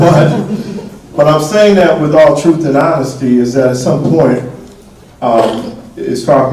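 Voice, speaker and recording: A man's lively, moderately paced speech, with audible room echo and noticeable background noise. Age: 60s. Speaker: mayor. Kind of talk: town hall Q&A. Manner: casual, frank.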